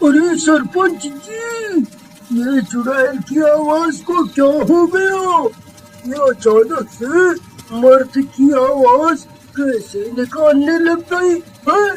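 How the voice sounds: A cartoonish character voice at a very slow pace, with long, frequent pauses and music in the background. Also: man, extremely high pitch for a man.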